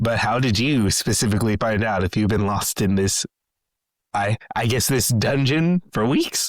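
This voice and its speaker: A man puts on a character voice. His pitch sits in the medium range. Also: moderate pace. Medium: actual play. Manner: cocky.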